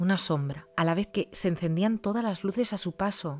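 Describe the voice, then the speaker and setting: This woman talks at a moderate pace. Her tone is animated and her intonation lively. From Spain. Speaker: youtuber telling follower stories. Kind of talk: reading aloud listener stories with comments. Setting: at home. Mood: animated, expressive. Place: home room.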